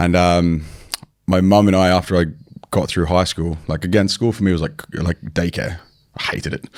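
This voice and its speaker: A man talks at a moderate pace. His very deep, low voice keeps fairly even intonation. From Australia (New South Wales). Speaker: online fitness coach, former bodybuilder. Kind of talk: podcast interview. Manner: casual, conversational.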